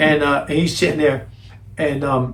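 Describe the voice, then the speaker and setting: There is audible room echo around a man's fairly high voice. He sounds somewhat breathy. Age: 60s. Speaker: basketball coach. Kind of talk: casual conversation. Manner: halting, repetitive.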